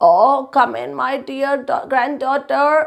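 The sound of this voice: Using a put-on character voice, a woman speaks in a gruff, high-pitched way at a fairly slow pace.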